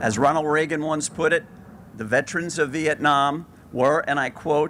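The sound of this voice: A man speaks at a fairly slow pace. His voice is fairly high-pitched with a fairly bright tone.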